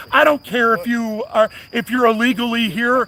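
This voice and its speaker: Over noticeable background noise, a man speaks in a raised, projected voice at an extremely high pitch and a moderate pace, with a dry, close sound and no echo. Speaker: YouTube livestreamer. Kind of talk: street debate. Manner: animated.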